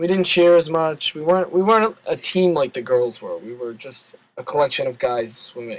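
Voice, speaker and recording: A man with an American accent and a high pitch talks at a moderate pace with hardly any pauses, lively intonation and big swings in loudness. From Philadelphia. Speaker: college swimmer. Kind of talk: casual chat. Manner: halting.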